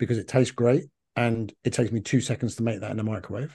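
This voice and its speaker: A man with a London accent talks at a fairly quick pace in a medium pitch. His tone is dark and mellow, and the background is quiet. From London, England. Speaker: functional medicine practitioner. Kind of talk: interview. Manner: talkative.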